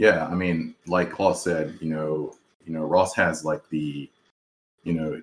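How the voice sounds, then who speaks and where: The man's pitch is very deep and low. He speaks at a moderate pace. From South Carolina. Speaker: podcast host, psychologist and new father. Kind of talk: casual chat.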